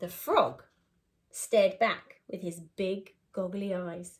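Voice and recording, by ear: A woman speaks slowly at a fairly low pitch, with a slightly husky edge. Her intonation stays fairly even.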